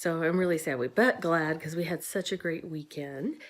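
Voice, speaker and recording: A woman with an American accent speaks at a fairly low pitch in a normal speaking voice. Her intonation is lively. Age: 50s. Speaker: weight loss vlogger. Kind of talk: casual vlog talk to camera.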